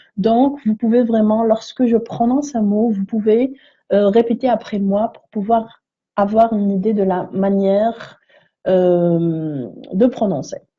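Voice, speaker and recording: The voice is somewhat breathy, with ordinary pitch variation. It moves at a very slow pace with big swings in loudness. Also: woman, fairly high pitch for a woman. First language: neither French nor English (speaking French). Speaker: English teacher. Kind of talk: tutorial. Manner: hesitant, frequent fillers.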